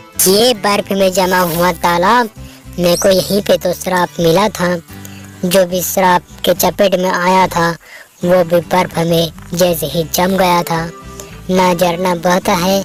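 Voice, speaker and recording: A cartoonish, female-sounding character voice at a medium pitch, fairly slow and monotone with flat intonation, over clear background music. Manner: sorrowful, pleading.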